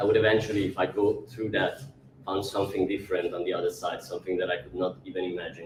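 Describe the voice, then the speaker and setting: A man with an Italian accent talks at a very fast pace. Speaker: actor. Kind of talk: public talk. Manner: halting.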